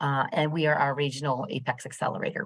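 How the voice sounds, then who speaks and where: Against a quiet background, the speaker moves at a fairly quick pace with fairly even intonation. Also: woman. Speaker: program manager and business counselor. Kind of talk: training presentation on video call. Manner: hesitant, many fillers. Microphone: video call.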